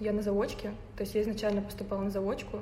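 Through noticeable background noise and audible room echo, a woman speaks at a medium pitch. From Tatarstan, Russia (Naberezhnye Chelny). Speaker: photographer. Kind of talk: casual chat.

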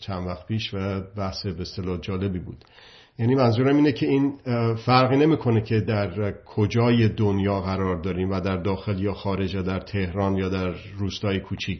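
Pitched fairly low, a man with an unremarkable speaking voice talks with ordinary pitch variation. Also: moderate pace. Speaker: political commentator. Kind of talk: monologue talk.

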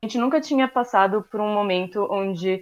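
The intonation is lively against a quiet background. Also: woman. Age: 20s. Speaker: social sciences student. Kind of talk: casual chat.

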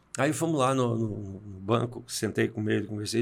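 An ordinary speaking voice from a man at medium pitch, moderately paced, in a very clean recording with a silent background. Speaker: executive coach and speaker. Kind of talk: interview.

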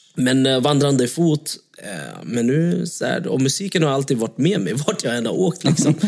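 A man has a normal speaking voice with a fairly high pitch. He speaks at a moderate pace with lively intonation. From Surahammar, Sweden. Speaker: singer. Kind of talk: casual chat.

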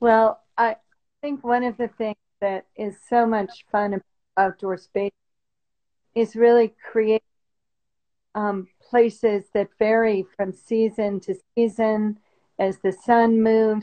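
With an American accent, a woman with a fairly high pitch speaks very slowly in a monotone, flat intonation, leaving long, frequent pauses. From eastern US. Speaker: landscape designer. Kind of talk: casual interview. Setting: video call from vacation home.

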